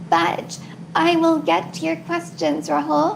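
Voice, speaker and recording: Through audible room echo and noticeable background noise, this woman keeps a moderate pace. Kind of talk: panel talk. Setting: video call from living room. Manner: slight delay before responding.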